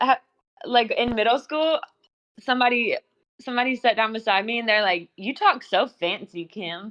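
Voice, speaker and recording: An ordinary speaking voice from a woman with an American accent, fairly high in pitch. She talks at a moderate pace with lively intonation. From US South. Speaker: podcast guest. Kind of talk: casual chat.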